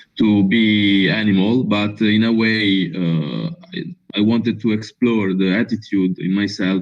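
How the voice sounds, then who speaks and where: Speaking at a very slow pace with an Italian accent, a man uses a fairly low pitch and ordinary pitch variation. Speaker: filmmaker. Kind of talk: interview. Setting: video call. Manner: halting.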